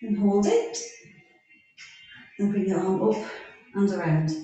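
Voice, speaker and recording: Strong room echo surrounds the voice. A woman speaks at a fairly slow pace. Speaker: fitness instructor. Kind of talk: exercise class instruction. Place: home room. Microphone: camera far.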